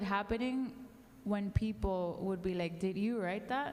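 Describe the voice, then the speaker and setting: Despite noticeable background noise, a woman with a Spanish accent speaks at a fairly slow pace and fairly high pitch with lively intonation. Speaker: songwriter. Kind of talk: panel discussion.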